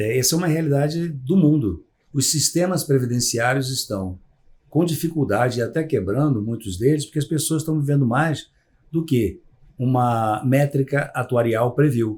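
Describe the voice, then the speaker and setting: A man speaks at a moderate pace in a medium pitch, his voice somewhat breathy. His pitch varies in an ordinary way. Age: 60s. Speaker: psychologist. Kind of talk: podcast interview. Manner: hesitant, many fillers.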